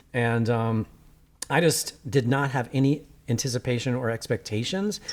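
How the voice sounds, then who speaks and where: A man talks at a medium pitch. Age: 50s. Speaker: documentary filmmaker and podcast host. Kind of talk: casual interview conversation. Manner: fast.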